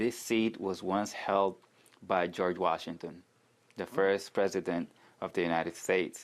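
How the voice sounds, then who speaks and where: With a non-native accent, a man speaks fairly slowly in a very deep, low pitch, his intonation fairly even. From Sudan. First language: not English. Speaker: city council candidate. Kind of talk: interview.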